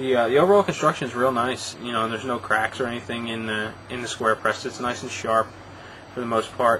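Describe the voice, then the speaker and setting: Fairly quick speech from a man at medium pitch with ordinary pitch variation, against noticeable background noise. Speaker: cigar reviewer. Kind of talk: product review. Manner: fast; hesitant, many fillers.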